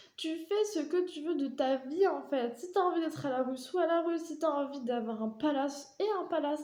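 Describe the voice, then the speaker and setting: A high-pitched woman's voice, dark and mellow in tone, at a moderate pace with hardly any pauses. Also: ordinary pitch variation. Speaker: vlogger. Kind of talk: personal monologue. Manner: talkative.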